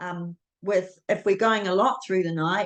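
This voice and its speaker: At medium pitch, a woman speaks with a New Zealand accent. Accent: New Zealand accent, delicate. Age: 60s. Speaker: guest sharing health story. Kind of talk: interview testimony. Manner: hesitant, many fillers.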